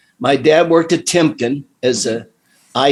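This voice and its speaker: A man at a fairly slow pace, with an American accent and fairly even intonation. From Ohio, US Midwest (Midvale area). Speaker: retired teacher and singer. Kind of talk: casual interview chat.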